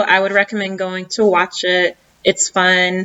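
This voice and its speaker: In a Southern US accent, a woman talks at a medium pitch and a fairly slow pace. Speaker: YouTuber reviewing a reality show. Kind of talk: casual vlog commentary. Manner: hesitant with many fillers.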